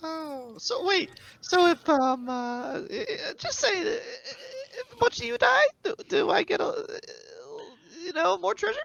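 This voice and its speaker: Putting on a character voice, a man talks at an extremely high pitch with very wide pitch swings, a fairly slow pace and long, frequent pauses. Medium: actual play. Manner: halting, full of ums and uhs.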